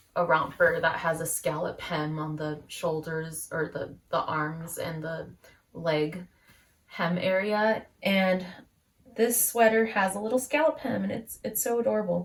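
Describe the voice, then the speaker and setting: A woman speaks fairly slowly in a fairly low, somewhat breathy voice. Her intonation is lively. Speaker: knitting podcaster. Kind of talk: casual chat. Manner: many fillers (um, uh, like).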